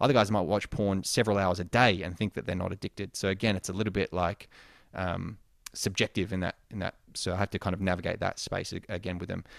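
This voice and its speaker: In an Australian accent, a man with a very deep, low pitch talks at a very fast pace, the sound dry and close with no echo. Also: fairly even intonation, very clean recording, silent background. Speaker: sex coach. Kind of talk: interview. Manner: casual.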